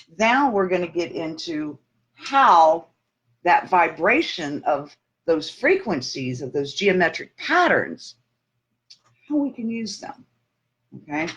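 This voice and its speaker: Very slowly and with long, frequent pauses, a woman speaks in very wide pitch swings. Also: fairly low pitch for a woman, big swings in loudness. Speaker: minister. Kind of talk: sermon. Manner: halting, self-correcting; conversational.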